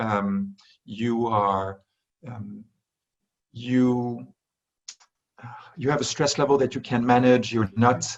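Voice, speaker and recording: With a French accent, a man speaks at a medium pitch and a very slow pace, leaving long, frequent pauses. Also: fairly even intonation. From France. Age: 40s. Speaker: wellness industry executive. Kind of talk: interview. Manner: halting, many fillers and restarts.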